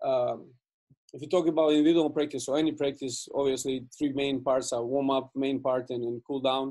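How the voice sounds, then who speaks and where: A Serbian accent at a fairly quick pace, with a dark, mellow tone and monotone, flat intonation. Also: man, fairly high pitch for a man. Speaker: basketball coach. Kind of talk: coaching webinar presentation. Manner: fast; halting, many fillers and repeats.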